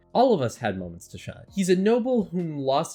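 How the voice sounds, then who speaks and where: Over music in the background, a man speaks at a very fast pace with lively intonation. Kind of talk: story read-aloud with commentary. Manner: casual, conversational.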